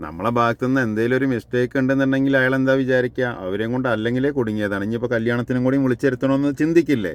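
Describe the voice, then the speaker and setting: The man's medium-pitched voice shows ordinary pitch variation while noticeable background noise carries on behind it. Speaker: home construction vlogger. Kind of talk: casual chat.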